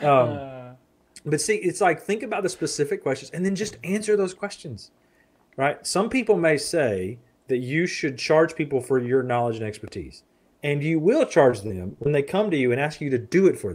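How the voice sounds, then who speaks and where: In a Southern US accent, a man talks at a moderate pace with very wide pitch swings. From US South (Florida, south Alabama). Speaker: marketing copywriter; podcast guest. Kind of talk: interview. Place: home room. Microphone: studio mic.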